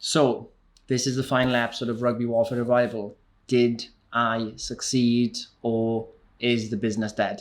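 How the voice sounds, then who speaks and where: A man with a Welsh accent speaks in a medium pitch at a moderate pace, his intonation monotone and flat. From Wales. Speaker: entrepreneur and YouTuber. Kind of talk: business vlog. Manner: casual, conversational.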